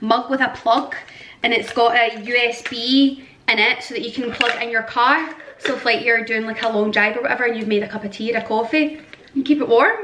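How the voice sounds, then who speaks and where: Noticeable background noise accompanies a woman with a Scottish accent. She talks at a fairly quick pace with a high pitch. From Scotland. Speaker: vlogger. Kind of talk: casual vlog. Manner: animated; shaky.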